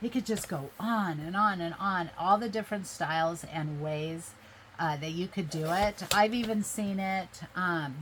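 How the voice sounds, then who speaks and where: The clip features an ordinary speaking voice. Pitch variation is ordinary. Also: woman, medium pitch for a woman, fairly slow pace. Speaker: craft video creator. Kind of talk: crafting tutorial. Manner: casual, chatty.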